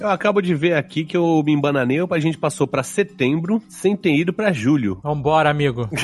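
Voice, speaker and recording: This man has a plain, everyday voice, fairly high in pitch, moving at a fairly quick pace with very even loudness and hardly any pauses. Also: lively intonation. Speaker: podcast co-host. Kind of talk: casual chat.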